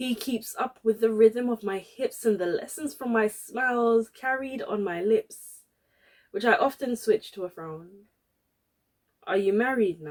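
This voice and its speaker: Here is a woman with an ordinary speaking voice, fairly high in pitch. She talks at a fairly slow pace with lively intonation. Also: big swings in loudness. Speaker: poet and self-published author. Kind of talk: casual chat; reading own poetry aloud with commentary.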